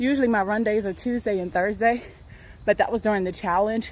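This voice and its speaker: A woman talks with a fairly high pitch and fairly even intonation. The sound is dry, with no echo. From United States. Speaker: university lecturer and fitness vlogger; university lecturer, fitness vlogger. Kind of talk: casual vlog monologue. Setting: outdoors.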